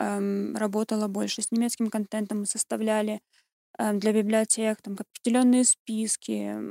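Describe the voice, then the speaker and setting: In a very clean recording with a silent background and a dry, close sound with no echo, a woman with a fairly high pitch and a dark, mellow tone speaks at a moderate pace with fairly even intonation. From Russia, Southern Urals (Kurgan). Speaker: linguist and designer. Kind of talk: casual interview.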